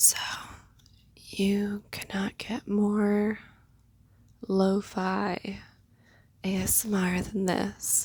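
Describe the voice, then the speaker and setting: A medium-pitched woman at a very slow pace, in a monotone, flat delivery broken by long, frequent pauses. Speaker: nurse. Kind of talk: ASMR whisper ramble. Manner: whispered; casual, rambling.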